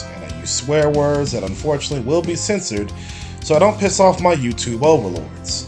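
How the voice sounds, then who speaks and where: Fairly high-pitched male voice, very wide pitch swings and a fairly quick pace, with music in the background. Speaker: video game reviewer. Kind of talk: video game review voice-over. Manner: occasional stuttering, somewhat awkward line readings.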